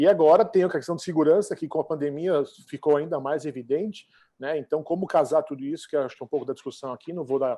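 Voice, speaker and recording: Here a man talks at a very fast pace with a dark, mellow tone. His pitch is fairly high, with ordinary variation. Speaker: travel association representative. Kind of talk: panel discussion. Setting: online event. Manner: halting, many fillers.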